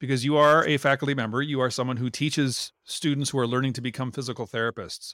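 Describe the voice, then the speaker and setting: A man with an American accent and a medium pitch speaks very fast with lively intonation and a bright, sharp tone, recorded very cleanly with a silent background and a dry, close sound with no echo. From Minnesota. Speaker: podcast host and physical therapist. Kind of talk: interview.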